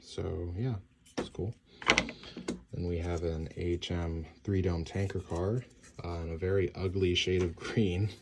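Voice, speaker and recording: Fairly slow speech with long, frequent pauses over noticeable background noise. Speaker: model train hobbyist. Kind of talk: unboxing video. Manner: casual, hesitant with fillers.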